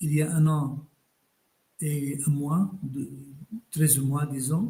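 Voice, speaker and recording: Speaking very slowly, a man uses a fairly high pitch and a dark, mellow tone. His delivery is somewhat breathy and monotone, with flat intonation. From Palestine, Bethlehem. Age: 70s. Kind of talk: interview.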